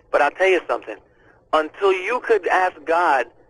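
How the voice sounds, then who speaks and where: Moderate pace, with a dry sound and no echo. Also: man. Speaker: radio caller. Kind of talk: call-in talk, heartfelt advice.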